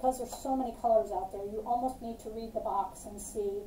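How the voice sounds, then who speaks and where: There is light background noise and audible room echo. The woman's pitch varies in an ordinary way. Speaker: fitness instructor. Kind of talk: tutorial. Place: home room. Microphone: camera far.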